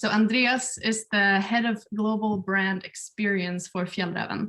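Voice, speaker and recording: In a Swedish accent, a woman talks at a medium pitch. Her pace is fairly slow and her intonation fairly even. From Sweden. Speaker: webinar moderator, community builder. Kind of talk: webinar introduction. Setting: video call from home.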